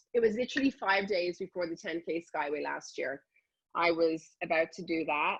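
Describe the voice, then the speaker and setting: Speaking in an Irish accent, this woman is heard. Her pitch is fairly low. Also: ordinary pitch variation, moderate pace. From Dublin, Ireland. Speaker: health and fitness enthusiast. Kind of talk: interview answer. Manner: enthusiastic.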